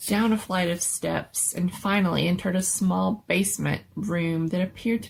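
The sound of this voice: An unforced reading voice carries the text, with pitch that varies in an ordinary way.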